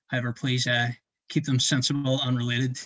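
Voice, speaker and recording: A man's medium-pitched voice in a Northern Irish accent. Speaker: student event host. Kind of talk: live interview. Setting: livestream. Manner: hesitant, many fillers.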